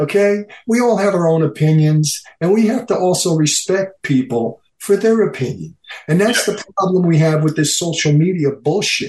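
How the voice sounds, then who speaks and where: At a moderate pace, a man speaks in a high voice with lively intonation. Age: 60s. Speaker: former bodybuilding training partner. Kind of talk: casual interview chat. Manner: animated.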